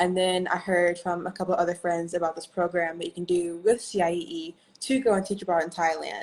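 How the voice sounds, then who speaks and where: A woman with an American accent talks at a fairly quick pace in a plain, everyday voice with a fairly low pitch. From US, Oklahoma. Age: 20s. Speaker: English teacher abroad. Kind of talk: interview on a livestream.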